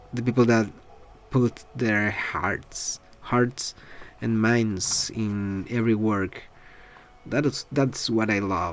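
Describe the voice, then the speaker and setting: With music playing in the background, a man talks very slowly in a Spanish accent, at a medium pitch with fairly even intonation. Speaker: artist vlogger. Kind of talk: casual vlog talk. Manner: halting, many fillers.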